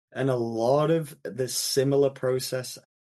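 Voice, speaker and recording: A man with an American accent is speaking. His pitch is fairly high, and his tone is dark and mellow. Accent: English, fading toward American. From England. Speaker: investment banker. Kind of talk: podcast interview. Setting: remote call. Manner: repetitive stammering restarts.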